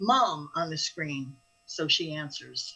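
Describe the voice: A woman speaks at a fairly slow pace in a bright, sharp tone with a slightly husky edge.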